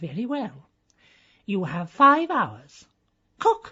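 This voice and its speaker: Using a put-on character voice, a woman speaks very slowly at a fairly high pitch with very wide pitch swings. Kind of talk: comic aristocratic hauteur. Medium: audio drama. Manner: haughty, clipped.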